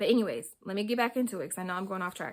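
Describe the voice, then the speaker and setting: The recording is very clean with a silent background. A woman speaks with ordinary pitch variation. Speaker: hair care vlogger. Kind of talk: casual vlog tutorial.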